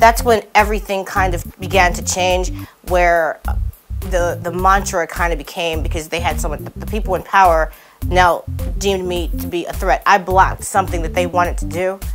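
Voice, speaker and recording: A woman speaking at a moderate pace, with clear music in the background. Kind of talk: interview answer. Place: studio. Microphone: lapel.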